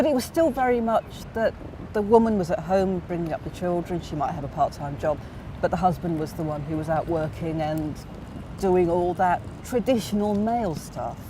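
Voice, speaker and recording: Over noticeable background noise, a woman with a fairly low voice speaks at a moderate pace with lively intonation. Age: 60s. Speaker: guest discussing gender roles, mother of seven. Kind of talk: casual interview chat.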